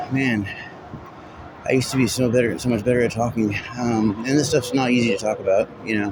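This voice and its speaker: A man at a medium pitch with fairly even intonation, a fairly quick pace and long, frequent pauses, over noticeable background noise. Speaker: vlogger. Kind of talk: vlog monologue. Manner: halting, broken up.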